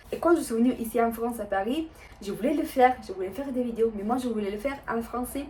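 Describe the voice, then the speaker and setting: A woman with an Italian accent, fairly high pitch, ordinary pitch variation, and a very fast pace, over noticeable background noise. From Italy. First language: Italian (speaking French). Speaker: vlogger. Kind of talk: casual vlog talk. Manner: hesitant, many fillers.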